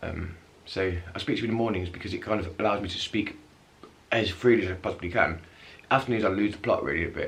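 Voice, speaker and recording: Very fast speech from a man with a fairly low pitch and ordinary pitch variation, plus audible room echo. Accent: English. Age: 30s. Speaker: vlogger with multiple sclerosis. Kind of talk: casual vlog. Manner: halting; mumbling at times.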